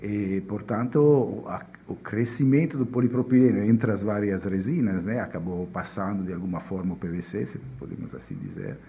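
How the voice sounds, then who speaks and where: Moderately paced speech in a strong Italian accent with big swings in loudness. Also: man, fairly low pitch for a man, lively intonation. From Italy. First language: Italian (speaking Portuguese). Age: 50s. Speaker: chemist. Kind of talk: podcast interview. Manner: halting.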